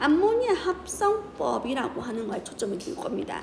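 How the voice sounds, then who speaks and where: A woman's voice with very wide pitch swings, audible room echo, and noticeable background noise. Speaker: chemistry teacher. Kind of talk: lecture. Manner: fast.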